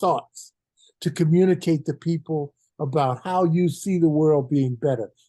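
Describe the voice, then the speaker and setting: With a quiet background, a man in an American accent speaks at a high pitch in a dark, mellow tone with ordinary pitch variation. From US, Philadelphia. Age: 80s+. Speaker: retired basketball coach. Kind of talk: podcast interview.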